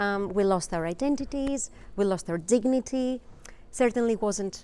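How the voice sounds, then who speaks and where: In a Greek accent, a woman speaks at a medium pitch with ordinary pitch variation and a dark, mellow tone. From Greece. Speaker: presenter. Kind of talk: presentation.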